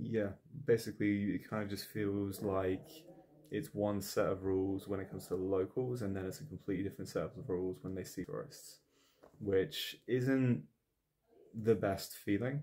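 Speaking at a moderate pace, a man has a dark, mellow tone, a fairly low pitch and fairly even intonation.

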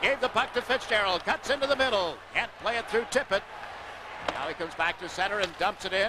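Over loud background noise, the voice shows ordinary pitch variation in a dry sound with no echo. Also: man. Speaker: play-by-play hockey commentator. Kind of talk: live hockey play-by-play commentary. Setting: broadcast booth at the arena during a live TV game. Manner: fast, rapid-fire play-by-play that builds to a loud, excited call on goals; fluent, measured broadcaster delivery with sponsor reads and game updates. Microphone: headset.

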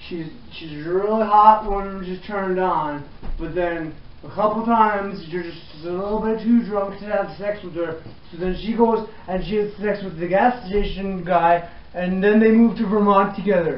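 A man talks at a moderate pace with fairly even intonation. The room adds an audible echo. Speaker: comic host of a how-to parody. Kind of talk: comedic tutorial monologue. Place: empty room. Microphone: camera far.

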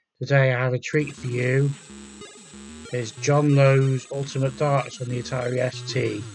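Music plays in the background as a man speaks at a moderate pace. His medium-pitched voice stays monotone and flat. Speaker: retro gaming video host. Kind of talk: casual gameplay commentary.

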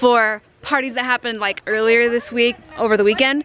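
High-pitched, a woman speaks with a dry sound and no echo. Light background noise can be heard. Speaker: family vlogger. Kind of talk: casual vlog chat. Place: street. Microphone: phone near.

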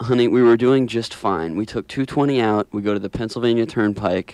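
Recorded dry with no echo, a man with a plain, everyday voice speaks at medium pitch and a moderate pace. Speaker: college radio host. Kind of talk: radio host introducing a technical writing segment. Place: studio.

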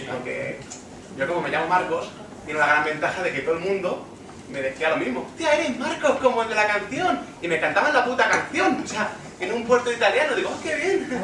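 A man speaks at a fairly quick pace in a raised, projected voice. The room echo is audible, and so is noticeable background noise. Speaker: stand-up comedian. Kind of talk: stand-up comedy monologue.

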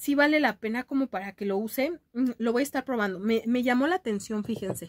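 A woman with a high-pitched voice speaks in a Mexican accent at a moderate pace. She sounds animated. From Mexico. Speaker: beauty youtuber. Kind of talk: casual vlog chat. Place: home room. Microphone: webcam.

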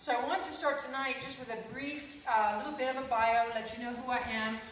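A woman with a high voice is heard with audible room echo and light background noise. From Vancouver Island, British Columbia, Canada; British Columbia, Canada. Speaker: political candidate and scientist; candidate. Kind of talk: political speech. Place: hall.

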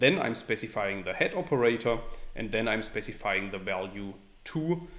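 This man's pitch varies by an ordinary amount as he talks. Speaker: programming tutor. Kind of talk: tutorial.

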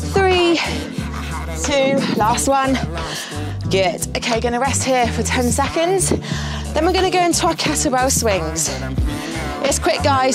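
A woman speaking fairly slowly, with long, frequent pauses and clear music in the background. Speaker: fitness instructor. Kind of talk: workout coaching instructions. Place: studio.

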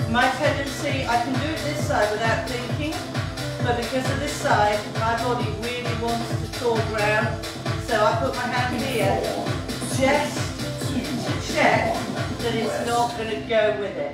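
A woman speaks at a fairly slow pace. Loud music plays in the background, and room echo is audible. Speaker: fitness instructor. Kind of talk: exercise class instruction. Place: gym. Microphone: camera far.

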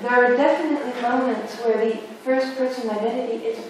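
Heard through strong room echo and light background noise, a woman talks at a fairly quick pace in a monotone, flat intonation. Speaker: academic philosopher or artist on panel. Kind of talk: academic round-table discussion. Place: hall.

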